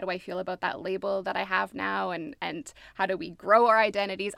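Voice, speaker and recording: A woman with a Canadian accent talks at a very fast pace in a medium pitch. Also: very clean recording, silent background. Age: 30s. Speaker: social worker, therapist and theater actor. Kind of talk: casual interview conversation.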